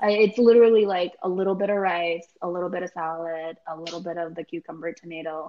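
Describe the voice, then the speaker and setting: A woman with a normal speaking voice talks at a moderate pace and a fairly low pitch, her intonation fairly even. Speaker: food truck business founder, financial analyst. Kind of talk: interview.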